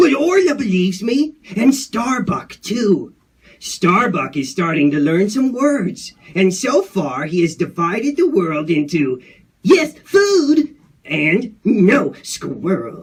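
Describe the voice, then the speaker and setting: Using a put-on character voice, a man speaks at a high pitch and a fairly slow pace with very wide pitch swings. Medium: read story. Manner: excitable, rambling.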